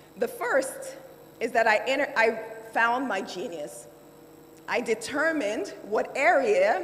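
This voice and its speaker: With a Nigerian accent, a woman talks at a high pitch with lively intonation over noticeable background noise. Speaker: lawyer and finance executive. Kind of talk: keynote speech.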